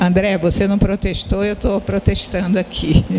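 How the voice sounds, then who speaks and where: Against noticeable background noise, a woman talks fairly slowly at a medium pitch. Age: 70s. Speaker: publisher and sociologist. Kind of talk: panel discussion. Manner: halting.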